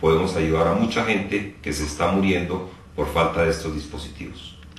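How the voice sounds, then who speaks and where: A man talks at a moderate pace with fairly even intonation. Room echo can be heard in the recording. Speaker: presenter. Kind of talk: educational explanation to camera. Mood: serious, informative. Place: studio.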